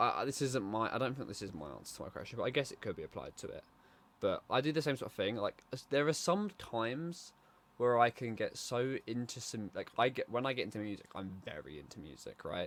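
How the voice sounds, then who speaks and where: A man with a British accent talks at a fairly quick pace, his loudness swinging widely. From Britain. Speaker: podcast co-host. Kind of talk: casual chat. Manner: quiet, calm.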